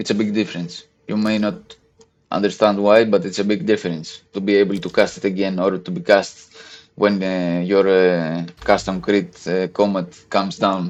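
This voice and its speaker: A man speaks at a moderate pace in a fairly low pitch with a non-native accent and fairly even intonation. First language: not English. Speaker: gaming content creator. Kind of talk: tutorial. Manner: halting, many fillers.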